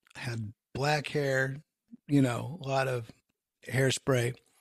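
This man has an American accent and a fairly high pitch, and he talks at a very slow pace. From US West Coast, San Francisco Bay Area. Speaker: rock guitarist. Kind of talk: interview.

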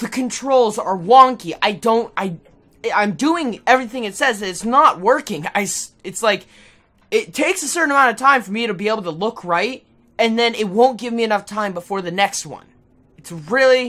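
A man projects a raised voice at a moderate pace. His tone is bright and sharp, with lively intonation. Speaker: gamer. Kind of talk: gameplay commentary. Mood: frustrated, nervous.

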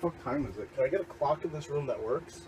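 Light background noise accompanies a man speaking at a moderate pace. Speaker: vlogger. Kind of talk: casual vlog chat. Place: home room. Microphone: camera far.

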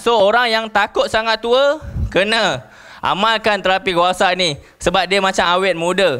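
Raised, projected voice of a man, bright and sharp in tone. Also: quiet background. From Malaysia. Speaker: network marketing distributor; presenter. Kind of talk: sales presentation. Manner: animated. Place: hall.

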